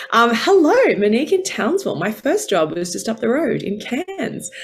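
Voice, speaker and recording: In an Australian accent, a woman talks at a fairly quick pace with lively intonation. Background noise is noticeable. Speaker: former journalist, women's career coach. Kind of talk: online masterclass talk. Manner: animated.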